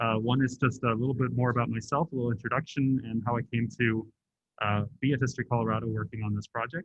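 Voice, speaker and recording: A man speaks at a fairly quick pace with a medium pitch. His intonation is flat and monotone. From upstate New York (Catskills) and Germany. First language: German. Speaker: museum curator and historian. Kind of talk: presentation to an audience. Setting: meeting room with audience. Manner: halting, many fillers. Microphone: adjusted, better heard after.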